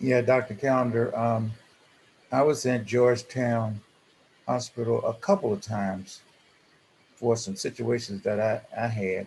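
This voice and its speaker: Somewhat breathy, a man speaks at a medium pitch and a fairly slow pace, with ordinary pitch variation and long, frequent pauses. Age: 70s. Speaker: support group member, transplant patient. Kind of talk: group discussion on video call. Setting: video call. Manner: halting, many fillers.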